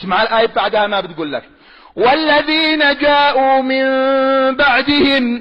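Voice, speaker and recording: A man speaks with a Yemeni accent. His pitch is extremely high. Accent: Sanaani Yemeni Arabic. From Yemen, Sanaa. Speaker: preacher. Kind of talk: religious sermon.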